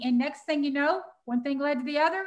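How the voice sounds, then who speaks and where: A woman speaks with a Texas accent. Her voice is high-pitched. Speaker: animal sanctuary founder and summit co-host. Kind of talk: live stream promo. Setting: live video. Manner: animated.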